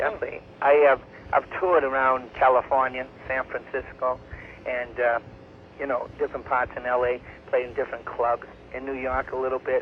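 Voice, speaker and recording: A man speaks at a fairly quick pace with a medium pitch, a monotone, flat intonation, and long, frequent pauses. Noticeable background noise runs underneath. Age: 30s. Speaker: outsider singer-songwriter. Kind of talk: phone conversation. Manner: halting.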